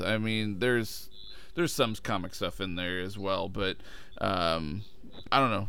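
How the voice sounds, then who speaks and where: In a normal speaking voice, a man talks at a moderate pace and a fairly low pitch. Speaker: podcast co-host. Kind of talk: casual podcast banter.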